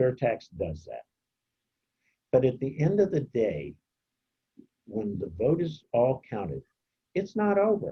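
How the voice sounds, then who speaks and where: The voice has vocal fry and very wide pitch swings, moving at a moderate pace. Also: man. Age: 70s. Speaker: community organizer. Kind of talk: presentation Q&A.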